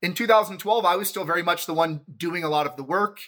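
A man's bright, sharp tone at a fairly quick pace, on a very clean recording with a silent background. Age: 40s. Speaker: agency managing partner. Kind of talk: casual interview. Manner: halting, many fillers and repetitions.

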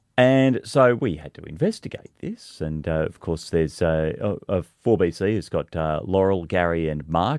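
A man with an Australian accent and a very deep, low pitch. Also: dry, close sound with no echo. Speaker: radio host. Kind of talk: casual radio chat. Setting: radio studio.

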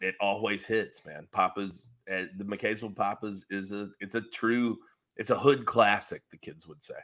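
Speaking at a fairly slow pace with a north Georgia accent, a man uses a fairly low pitch and fairly even intonation while his volume swings widely. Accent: Southern US (north Georgia). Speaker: sports podcast co-host. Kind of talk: casual chat.

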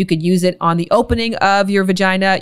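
Against a very clean, silent background, a woman talks in a normal speaking voice at medium pitch and a fairly quick pace. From Canada, Toronto. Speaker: sex and intimacy educator. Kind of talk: casual interview chat.

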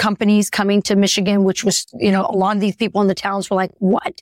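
A woman talks at a medium pitch in a flat monotone, with a dry, close sound and no echo. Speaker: political podcast co-host. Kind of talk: casual political chat.

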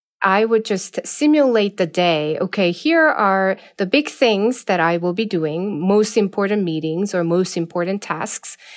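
Speaking at a fairly slow pace with a non-native accent, a woman uses lively intonation. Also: medium pitch for a woman, hardly any pauses. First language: not English. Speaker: management professor. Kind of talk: interview.

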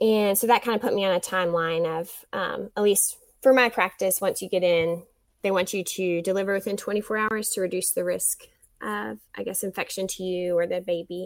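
A woman's plain, everyday voice at medium pitch, fairly quick and fairly even in intonation, on a very clean recording with a silent background. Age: 30s. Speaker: stay-at-home mother, former math teacher. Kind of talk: birth story interview.

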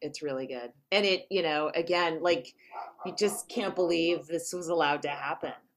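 With an American accent, a woman speaks at a moderate pace in a fairly low pitch with ordinary pitch variation. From US West Coast, San Francisco Bay Area. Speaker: comedian and comedy writer. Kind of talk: casual chat.

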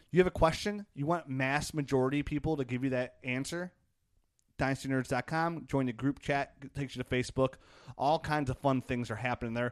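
In a dry, close recording with no echo and a quiet background, a man with an ordinary speaking voice talks at a fairly quick pace, his medium pitch following fairly even intonation. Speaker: fantasy football podcast host. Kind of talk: casual chat.

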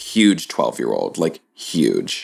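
Vocal fry from a man with an American accent, in a very clean recording with a silent background. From North Carolina. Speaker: actor and horror performer. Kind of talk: casual chat. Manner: animated.

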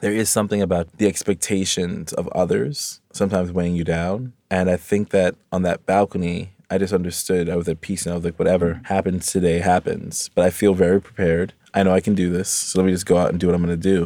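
In an American accent, a man talks at a very fast pace with hardly any pauses, his very deep, low pitch set in a dark, mellow tone and monotone, flat intonation, on a very clean recording with a silent background and a dry, close sound with no echo. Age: 30s. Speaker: Olympic fencer. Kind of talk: interview.

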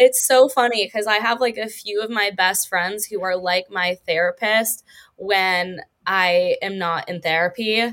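On a very clean recording with a silent background, a woman speaks in an American accent at a fairly slow pace. Her pitch is medium and her intonation fairly even. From Los Angeles, US. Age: 20s. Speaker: OnlyFans creator, DJ and podcast co-host. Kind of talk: casual chat. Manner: giggly, laughs often.

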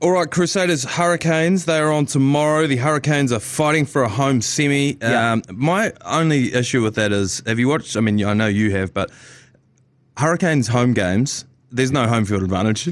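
A man with a New Zealand accent talks at a fairly quick pace with lively intonation and very even loudness. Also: medium pitch for a man. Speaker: sports podcast host. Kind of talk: casual chat. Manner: animated.

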